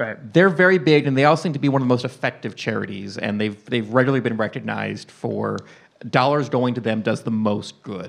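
Male speech with vocal fry at a fairly quick pace, over a quiet background. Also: ordinary pitch variation. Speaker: podcast guest. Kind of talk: casual chat. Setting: stage with audience. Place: stage. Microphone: handheld.

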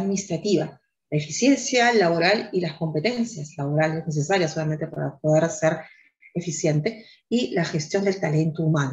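Against a quiet background, a woman with a fairly low pitch uses a normal speaking voice at a moderate pace. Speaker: online course instructor. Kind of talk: lecture. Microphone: webcam.

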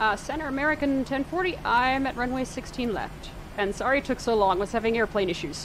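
A woman talks at a fairly quick pace in a high pitch, with lively intonation. Noticeable background noise sits behind her. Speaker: gamer streaming flight sim. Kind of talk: nervous flight-sim radio exchange with controllers, muttered asides. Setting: home streaming, online flight sim with screen reader. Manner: nervous, flustered, hesitant; rushed, stumbling.

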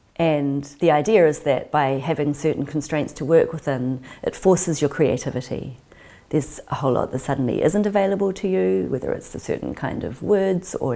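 With a New Zealand accent, a woman speaks at a moderate pace in a very deep, low voice with vocal fry, a dark, mellow tone and lively intonation. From New Zealand (Auckland west). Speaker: writer and artist in residence. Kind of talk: interview reflection on creative work; interview answer. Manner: reflective, with hesitations. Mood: warm, thoughtful. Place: home room. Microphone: lapel.

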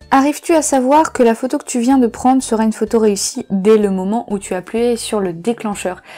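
Faint music plays behind a woman with a fairly high voice who talks at a fairly quick pace with lively intonation. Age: 20s. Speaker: photographer and video creator; photography youtuber. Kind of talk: casual Q&A video monologue. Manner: hesitant, many filler sounds.

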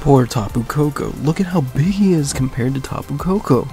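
A man's fairly slow speech with music in the background. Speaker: gaming news presenter. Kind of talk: news commentary to camera.

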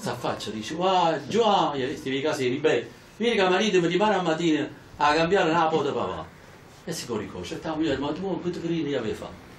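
A man talks at a very fast pace with a fairly high pitch and ordinary pitch variation. There is audible room echo and light background noise. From Italy. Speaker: professor and local anthropologist; professor. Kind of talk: anecdotal talk to audience. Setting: talk at a local association hall with audience. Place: hall. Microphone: camera far.

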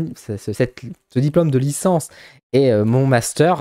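A man's fairly high-pitched voice with a dark, mellow tone over a quiet background. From northern France, Bourbourg; northern France. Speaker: psychic YouTuber; vlogger. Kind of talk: casual vlog; casual vlog chat. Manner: fast; halting. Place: home room. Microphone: studio mic.

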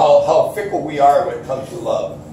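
In a room with audible echo, a man with a dark, mellow tone and fairly high pitch talks at a moderate pace with lively intonation.

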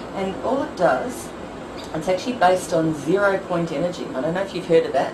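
Clearly audible noise sits behind a voice that moves rather briskly. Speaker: energy healing practitioner. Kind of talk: product demonstration talk. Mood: gentle, reassuring. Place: home room. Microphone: camera far.

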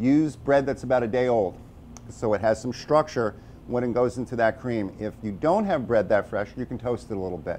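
A man speaks at a moderate pace with medium pitch. His loudness swings widely over light background noise. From New York City (Brooklyn); New York City. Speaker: chef. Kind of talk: tutorial. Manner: casual. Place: kitchen. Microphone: lapel.

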